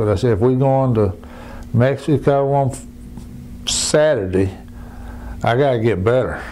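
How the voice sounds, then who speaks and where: A man's medium-pitched voice at a moderate pace with a Southern US accent, amid noticeable background noise. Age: 70s. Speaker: cancer patient. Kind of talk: testimony. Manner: halting.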